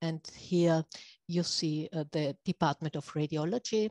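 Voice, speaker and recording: A woman's fairly slow speech in a German accent, dry and close with no echo, over a quiet background. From Austria. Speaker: radiology professor. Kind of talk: lecture. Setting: video call. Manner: halting.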